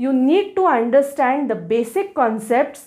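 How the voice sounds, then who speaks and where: With a Marathi accent, a woman speaks at a high pitch with lively intonation and a dark, mellow tone. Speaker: law educator. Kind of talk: tutorial. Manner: halting.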